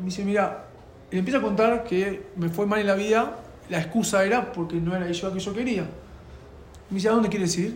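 Amid noticeable background noise and audible room echo, a high-pitched man talks at a fairly quick pace with fairly even intonation and long, frequent pauses. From Argentina. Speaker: rabbi and youth outreach worker. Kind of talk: personal testimony.

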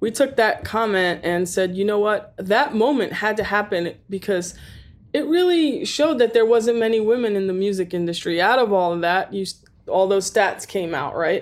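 A woman's plain, everyday voice at medium pitch and moderate pace. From New York (Staten Island). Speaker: recording engineer and studio owner. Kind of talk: interview.

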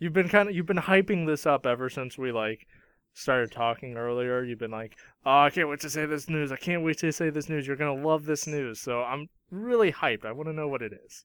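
In a very clean recording with a silent background, a man with an ordinary speaking voice talks at a fairly quick pace and fairly high pitch, with ordinary pitch variation and big swings in loudness. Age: 20s. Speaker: anime podcast co-host. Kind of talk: casual chat.

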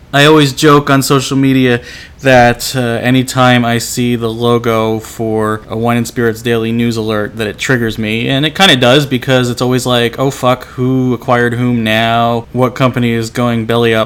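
A man speaks at a medium pitch with monotone, flat intonation. His moderate pace has hardly any pauses, with noticeable background noise underneath. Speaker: podcast host. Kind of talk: casual chat; scripted narration. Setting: convention venue, echoey room.

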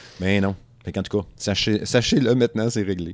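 A man speaks at a moderate pace in an animated tone, his pitch fairly low. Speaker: podcast host. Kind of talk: casual chat.

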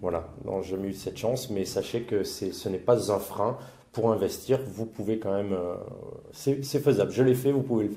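A man speaks at a moderate pace and medium pitch, with ordinary pitch variation. His tone is dark and mellow and somewhat breathy. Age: 30s. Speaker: property investor and temp worker. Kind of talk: interview testimony.

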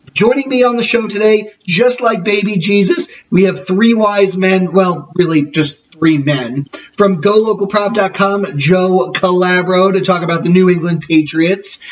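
A man with a high pitch, an animated tone, ordinary pitch variation and a fairly slow pace, over noticeable background noise. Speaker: sports podcast host. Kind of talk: podcast show intro.

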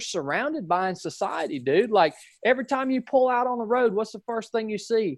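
Against a quiet background, a man with a northwest Georgia accent talks at a moderate pace with lively intonation. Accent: Southern, northwest Georgia. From northwest Georgia, US. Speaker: former Navy SEAL. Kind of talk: interview conversation.

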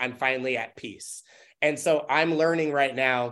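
With an American accent and an ordinary speaking voice, a man talks at a moderate pace in a fairly high pitch with fairly even intonation against a quiet background. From US Pacific Northwest, Tacoma, Washington. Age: 30s. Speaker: dancer and choreographer. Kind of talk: casual chat.

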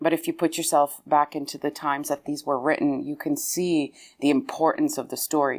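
Heard on a very clean recording with a silent background, a woman talks at a very deep, low pitch. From Lebanon. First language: Arabic. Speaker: opera singer. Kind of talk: interview.

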